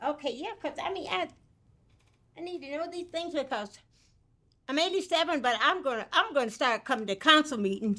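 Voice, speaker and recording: In a raised, projected voice with an American accent, the speaker talks at a fairly quick pace in a bright, sharp tone, with very wide pitch swings and long, frequent pauses, all on a very clean recording with a silent background. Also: woman, high pitch for a woman. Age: 80s+. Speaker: resident speaking at public comment. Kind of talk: public comment at council meeting. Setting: city council meeting.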